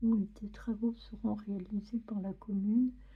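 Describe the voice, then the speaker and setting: Soft-spoken delivery at a very slow pace. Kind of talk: ASMR magazine reading.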